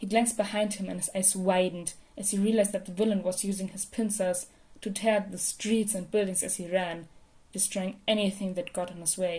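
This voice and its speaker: Somewhat breathy and dark, mellow in tone, a woman's voice moves at a fairly quick pace with monotone, flat intonation. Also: medium pitch for a woman, big swings in loudness. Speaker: podfic reader. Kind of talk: fan fiction audiobook reading.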